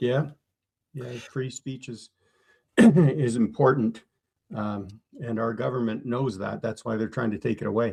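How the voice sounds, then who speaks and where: Speaking at a fairly slow pace with long, frequent pauses, a man with a Canadian accent has a medium-pitched, dark, mellow, somewhat breathy voice and ordinary pitch variation. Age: 60s. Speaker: engineer. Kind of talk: interview. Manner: halting.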